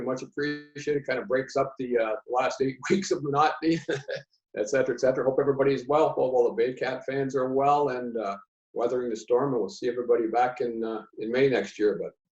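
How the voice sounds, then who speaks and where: Speaking at a very fast pace, a man with a medium-pitched, somewhat breathy voice keeps his intonation fairly even. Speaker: public address announcer and longtime volunteer for a baseball team. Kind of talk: interview answer, conversational recollection.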